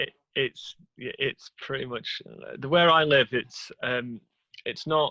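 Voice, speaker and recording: Speaking very slowly in an English accent, a man with a medium-pitched, bright, sharp tone keeps fairly even intonation but big swings in loudness, with long, frequent pauses in a dry, close sound with no echo. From northern England, Chesterfield near Sheffield. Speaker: YouTube show host, guest. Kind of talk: casual interview chat.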